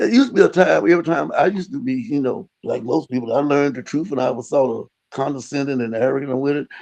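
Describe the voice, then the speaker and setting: Talking at a very fast pace, a man with an American accent uses lively intonation. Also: hardly any pauses. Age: 80s+. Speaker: retired engineer and radio preacher. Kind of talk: religious interview. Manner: halting.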